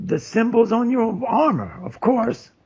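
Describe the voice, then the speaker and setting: Putting on a character voice, a man speaks at an extremely high pitch, raspy and at a fairly slow pace. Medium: actual play. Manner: calm, folksy, cryptic.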